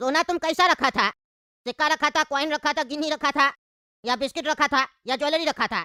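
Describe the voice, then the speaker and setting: A cartoonish character voice, high in pitch, moves at a fairly quick pace. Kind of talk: comic cartoon bickering. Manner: brash, scolding, colloquial.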